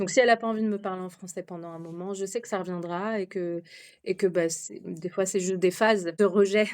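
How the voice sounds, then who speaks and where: This woman talks at a fairly quick clip, her loudness rising and falling sharply. Her intonation stays fairly even, and the recording is very clean with a silent background. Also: medium pitch for a woman. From France. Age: 30s. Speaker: expatriate mother. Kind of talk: podcast interview. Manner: hesitant, many fillers.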